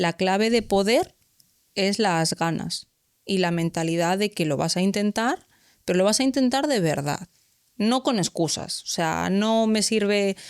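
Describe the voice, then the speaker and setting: A woman at medium pitch, fairly slow in pace, with very even loudness, ordinary pitch variation, a dry, close sound with no echo, and a very clean recording over a silent background. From Galicia, Spain. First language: Galician (speaking Spanish). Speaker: civil servant in the justice system. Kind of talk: podcast interview. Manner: animated.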